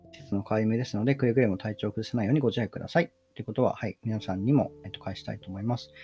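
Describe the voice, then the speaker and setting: With music in the background, a man at a medium pitch speaks at a very fast pace with hardly any pauses. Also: ordinary pitch variation, big swings in loudness. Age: 30s. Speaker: podcast host and graduate student. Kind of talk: solo casual talk.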